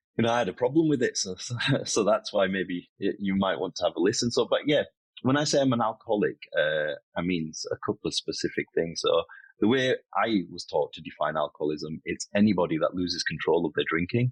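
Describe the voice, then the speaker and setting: The sound is dry and close with no echo as a man talks at a very fast pace. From northern England, Bradford. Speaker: recovering alcoholic sharing his story. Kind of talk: interview testimony.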